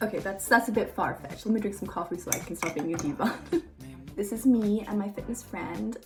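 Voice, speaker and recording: Music plays in the background as a woman talks at a very fast pace. Her pitch is medium, with ordinary variation. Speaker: fitness coach. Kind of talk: tutorial.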